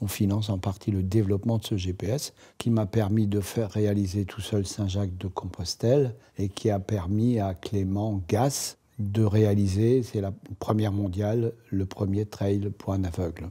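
In a very clean recording with a silent background, a man speaks at a fairly slow pace in a fairly low pitch, his somewhat breathy, dark, mellow tone delivered in a monotone, flat intonation. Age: 70s. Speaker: association founder and president, blind. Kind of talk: promotional testimony.

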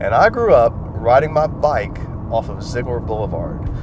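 There is noticeable background noise behind this man, though the sound itself is dry with no echo. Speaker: local guide. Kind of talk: casual tour commentary. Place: car.

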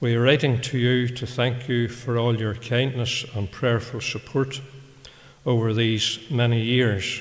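A man's voice comes across somewhat breathy. He talks at a fairly slow pace. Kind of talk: church announcements and reading a letter aloud. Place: church. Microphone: podium.

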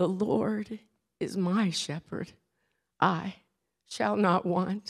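A put-on character voice, female-sounding and shaky, at a middle pitch and a very slow pace. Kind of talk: sermon.

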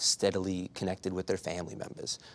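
Fairly quick speech from a man with a very deep, low pitch. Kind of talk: interview answer. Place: studio. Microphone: lapel.

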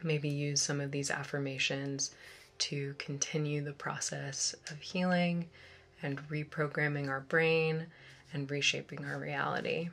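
A soft-spoken woman with a very deep, low pitch talks at a fairly slow pace in a monotone, flat intonation. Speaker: ASMR meditation guide. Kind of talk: guided meditation. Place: home room.

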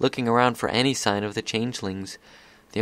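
Text is being read aloud in a natural voice.

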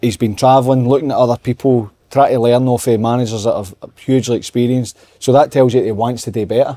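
A man with a Scottish accent talks very fast at a medium pitch, his tone dark and mellow. His intonation is fairly even, and the sound is dry and close with no echo. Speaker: football pundit. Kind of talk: casual chat.

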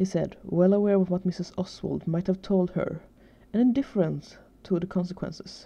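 This is plain reading aloud. Intonation holds fairly even throughout.

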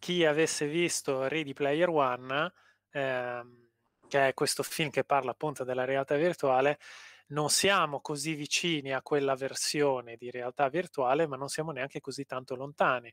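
With a plain, everyday voice, a man talks at a fairly high pitch and moderate pace, the sound dry with no echo and the background quiet. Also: fairly even intonation. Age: 40s. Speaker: engineering researcher and lecturer; lecturer. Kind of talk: interview. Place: home room.

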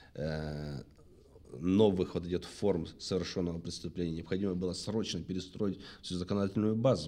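The man's voice is very deep and low in pitch, dark and mellow in tone, and he keeps a moderate pace. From Anapa, southern Russia; Russia. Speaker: former police detective turned businessman, book author; talk show guest. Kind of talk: testimony. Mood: serious, reflective storytelling. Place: studio. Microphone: studio mic.

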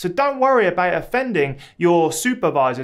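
The pace is moderate. A man is speaking against a quiet background. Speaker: academic advice creator. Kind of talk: advice vlog talk. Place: home room.

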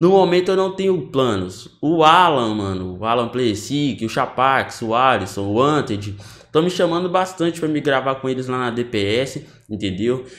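A man speaks at a moderate pace with hardly any pauses and very wide pitch swings. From Brazil. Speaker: gaming youtuber. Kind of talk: casual vlog talk to viewers. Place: home room.

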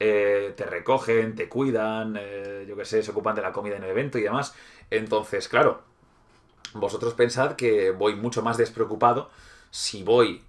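A man speaks with a Spanish accent at a moderate pace and medium pitch. His intonation stays fairly even against a quiet background. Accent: Peninsular Spanish. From Spain. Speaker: gaming YouTuber. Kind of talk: livestream hobby tutorial chat. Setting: live stream. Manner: casual, hesitant with fillers. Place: home room. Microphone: webcam.

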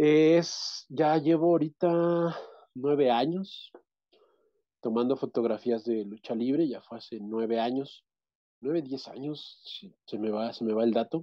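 Against a quiet background, a man speaks fairly slowly at a medium pitch with ordinary variation. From central Mexico, State of Mexico. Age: 30s. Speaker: interviewee. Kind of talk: interview. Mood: relaxed, reminiscing. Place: home room. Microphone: video call.

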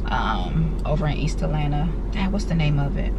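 Loud background noise sits behind a woman's voice. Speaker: lifestyle vlogger. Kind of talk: casual vlog chat. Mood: disappointed, mildly frustrated. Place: car. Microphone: phone near.

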